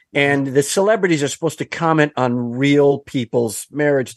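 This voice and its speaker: A man with an American accent and a plain, everyday voice talks at a moderate pace with lively intonation and fairly high pitch against a quiet background. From Wisconsin. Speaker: comedian and podcast host. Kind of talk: casual chat.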